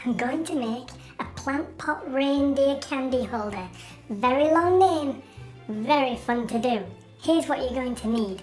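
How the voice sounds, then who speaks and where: A put-on character voice speaks at a moderate pace. Clear music plays in the background. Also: female-sounding voice, high pitch for a woman. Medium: short film. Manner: cheerful, chatty.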